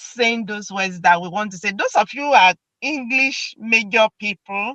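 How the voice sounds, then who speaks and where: In a Nigerian accent, a woman talks at a fairly slow pace with a bright, sharp tone and a dry, close sound with no echo. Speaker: video host. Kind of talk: casual chat.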